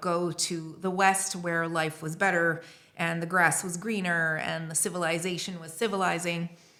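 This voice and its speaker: Speaking in a North American accent, a woman has a fairly low pitch and a bright, sharp tone with monotone, flat intonation. Room echo is audible. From Lebanon (Beirut). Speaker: writer and editor. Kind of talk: casual chat. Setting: recording in Montpellier.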